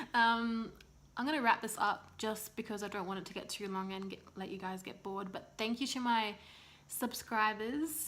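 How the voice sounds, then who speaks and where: Speaking with an Australian accent, a woman with a fairly high pitch talks at a moderate pace, with ordinary pitch variation and big swings in loudness. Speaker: vlogger, new mother. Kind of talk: casual vlog monologue.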